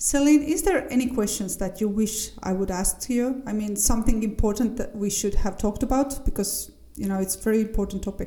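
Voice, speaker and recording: A woman with a normal speaking voice talks at a fairly quick pace with hardly any pauses, her pitch fairly high with ordinary variation. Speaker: podcast host. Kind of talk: podcast interview, casual chat.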